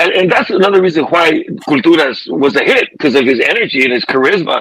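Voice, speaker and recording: A man at a very fast pace with very even loudness, over noticeable background noise. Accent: American. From California, San Jose. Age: 50s. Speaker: musician. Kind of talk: casual chat.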